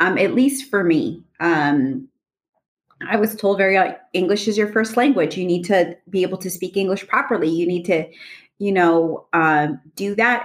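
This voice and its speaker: A woman talks at a moderate pace in an unremarkable speaking voice. Her intonation is lively. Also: medium pitch for a woman. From Los Angeles, California. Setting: video call.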